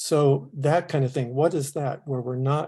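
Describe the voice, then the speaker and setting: A man's somewhat breathy, dark, mellow voice at a fairly high pitch, moderate in pace, with ordinary pitch variation against a quiet background. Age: 70s. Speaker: city advisory board member. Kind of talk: public meeting discussion. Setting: video call. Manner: halting.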